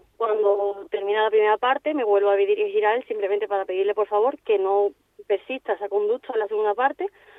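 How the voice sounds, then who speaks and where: Very fast, a woman talks in a fairly high pitch. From Seville, Andalusia, Spain. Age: 20s. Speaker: football referee. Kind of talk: radio interview. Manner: halting.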